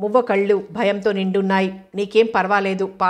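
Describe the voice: Someone does plain reading aloud. Nothing more than straight reading is heard.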